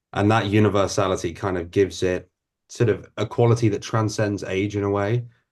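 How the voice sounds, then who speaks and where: A man with a London accent talks at a fairly quick pace against a quiet background. His fairly low voice stays monotone and flat. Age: 20s. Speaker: actor. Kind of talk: interview.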